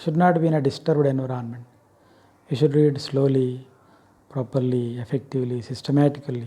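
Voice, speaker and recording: The voice has a dark, mellow tone, somewhat breathy, with ordinary pitch variation and an Indian accent. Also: man. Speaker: English lecturer. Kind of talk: lecture. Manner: slow.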